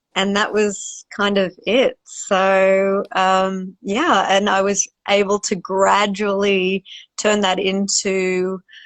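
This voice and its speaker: In a dry, close sound with no echo, a woman with an Australian accent speaks very slowly at a medium pitch, her intonation monotone and flat. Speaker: wildlife cinematographer and photographer. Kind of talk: interview Q&A. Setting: Instagram live video call.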